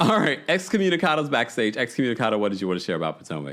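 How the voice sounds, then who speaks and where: A man talks at a very fast pace with vocal fry and a medium pitch. His pitch swings very widely. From New York, child of Jamaican immigrants. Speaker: online radio show host. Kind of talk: call-in recap show.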